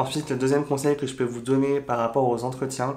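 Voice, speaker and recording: A man talks in a monotone, with flat intonation throughout. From France. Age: 20s. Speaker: YouTuber sharing expat advice. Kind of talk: vlog advice talk. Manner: casual, with frequent fillers.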